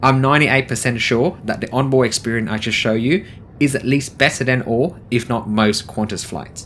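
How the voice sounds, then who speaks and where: Noticeable background noise sits behind a man with an enthusiastic tone. He moves at a fairly quick pace with ordinary pitch variation. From Vietnamese background, living in Australia. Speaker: travel vlogger. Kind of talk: travel vlog review. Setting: on board an aircraft landing.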